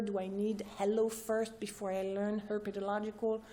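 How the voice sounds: A woman's dark, mellow voice with little pitch movement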